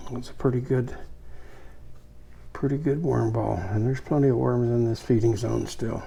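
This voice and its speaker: A man's somewhat breathy, relaxed voice at a moderate pace, with fairly even intonation, long, frequent pauses and audible room echo. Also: medium pitch for a man. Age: 80s+. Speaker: worm farmer and YouTuber. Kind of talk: casual tutorial. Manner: relaxed, conversational with fillers.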